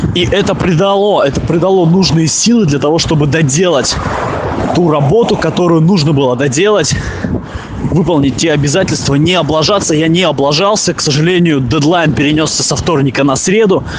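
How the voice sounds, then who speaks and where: A man's fairly high voice with ordinary pitch variation and very even loudness, amid noticeable background noise and audible room echo. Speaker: podcaster. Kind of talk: voice message monologue. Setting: outdoors. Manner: fast.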